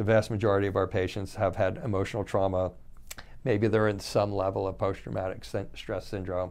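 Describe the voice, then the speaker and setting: Vocal fry at a fairly quick pace, with ordinary pitch variation. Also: man, fairly low pitch for a man. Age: 60s. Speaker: doctor giving health talks. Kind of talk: unscripted educational talk on health. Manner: rambling, conversational, hesitant.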